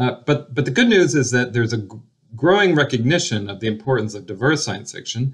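The background is quiet as a man speaks in a somewhat breathy voice. His pitch swings very widely. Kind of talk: interview answer. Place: home room. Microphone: webcam.

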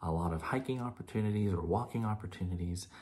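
There is a dark, mellow tone to this man's somewhat breathy voice. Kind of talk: casual vlog chat. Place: home room. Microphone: phone near.

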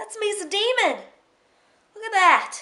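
A woman speaks in a raised, projected voice. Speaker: beauty and freebie vlogger. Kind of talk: casual vlog. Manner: animated.

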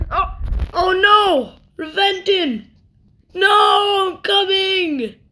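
A cartoonish character voice at a very slow pace, with long, frequent pauses. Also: man, extremely high pitch for a man.

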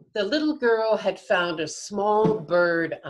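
With lively intonation, the reading aloud comes in a natural voice.

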